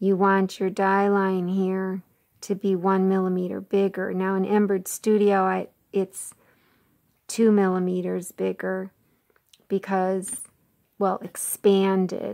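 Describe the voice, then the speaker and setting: The speech moves at a very slow pace with long, frequent pauses and a monotone, flat intonation in a dark, mellow tone. The recording is very clean, with a silent background. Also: woman, medium pitch for a woman. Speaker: quilting tutorial presenter. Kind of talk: tutorial.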